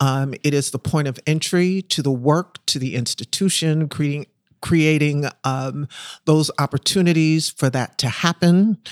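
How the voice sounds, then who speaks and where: On a very clean recording with a silent background and a dry, close sound with no echo, a woman with an American accent speaks at a fairly slow pace and a very deep, low pitch, with ordinary pitch variation. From US Northeast, Philadelphia. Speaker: theater marketing and group sales expert. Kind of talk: interview.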